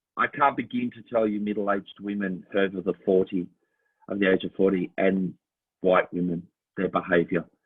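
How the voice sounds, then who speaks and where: A man with an Australian accent speaks at a fairly quick pace. His pitch is fairly low and his intonation fairly even. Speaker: Elvis impersonator and musical theatre performer. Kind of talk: casual chat.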